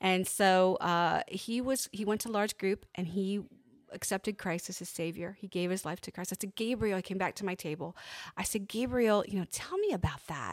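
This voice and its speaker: A woman with an American accent and an ordinary speaking voice, medium in pitch with ordinary pitch variation, at a moderate pace, in a dry, close sound with no echo. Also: very clean recording, silent background. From Pennsylvania. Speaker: nonprofit ministry leader. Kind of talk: interview. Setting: studio.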